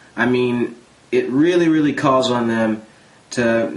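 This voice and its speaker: This man has an ordinary speaking voice, pitched in the middle range. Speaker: movie reviewer. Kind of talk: casual movie review talk to camera.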